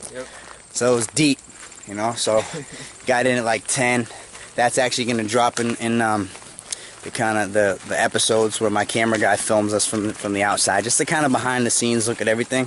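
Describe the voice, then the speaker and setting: A man speaks at a fairly quick pace in a flat monotone, the sound dry with no echo and light noise behind him. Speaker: dog trainer vlogger. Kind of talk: casual vlog chat. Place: open country. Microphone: phone near.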